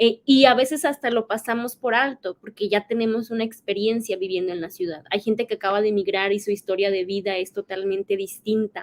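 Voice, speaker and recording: The recording is dry and close, with no echo. A woman with an unremarkable speaking voice and a fairly high pitch talks with hardly any pauses. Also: ordinary pitch variation, fairly quick pace. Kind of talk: podcast interview.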